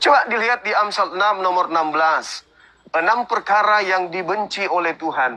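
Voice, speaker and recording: The tempo stays moderate. Clearly audible noise sits behind the voice. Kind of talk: religious debate. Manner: soft-spoken.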